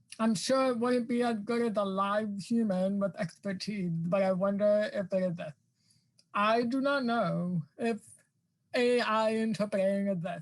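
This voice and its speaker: The voice is somewhat breathy, with very even loudness. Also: woman, medium pitch for a woman, ordinary pitch variation, fairly slow pace. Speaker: academic guest speaker on access. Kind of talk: virtual staff meeting discussion. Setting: video call. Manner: many fillers, some repetitions.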